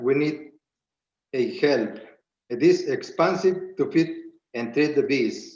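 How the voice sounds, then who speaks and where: Speech comes at a very slow pace with a Spanish accent and fairly even intonation. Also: man. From Spanish-speaking country, immigrant. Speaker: beekeeper and farm business owner. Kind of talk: prepared public testimony. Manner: halting, reading with restarts.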